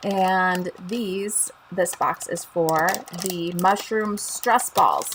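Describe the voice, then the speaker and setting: Delivered at a very slow pace, the speech has a Chicago accent and fairly even intonation. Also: woman, medium pitch for a woman. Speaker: craft demonstrator and channel host. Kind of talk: live stream tutorial and chat. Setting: live stream on Facebook and YouTube. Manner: casual, chatty with filler ums.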